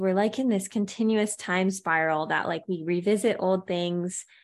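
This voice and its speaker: A woman with a normal speaking voice and an American accent, at a fairly slow pace and medium pitch, fairly even intonation, over a quiet background. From California. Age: 20s. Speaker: singer-songwriter and yoga teacher. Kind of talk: casual interview chat.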